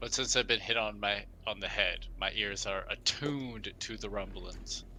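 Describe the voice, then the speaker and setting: Using a put-on character voice, a man speaks at a moderate pace over clear background noise. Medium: actual play.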